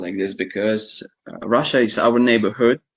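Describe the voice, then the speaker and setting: A man with an Eastern European accent talks at a moderate pace in a medium pitch, his pitch varying in an ordinary way. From Ukraine (born in Donetsk region). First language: Russian. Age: 20s. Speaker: interviewee describing war experience. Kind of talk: casual chat. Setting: online video chat.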